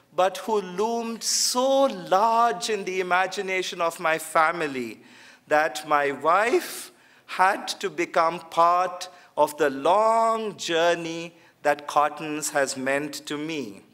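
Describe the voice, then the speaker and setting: Speaking very slowly with a Kannada accent, a man uses a high pitch, a bright, sharp tone and lively intonation. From India, Bangalore. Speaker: theologian. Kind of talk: lecture.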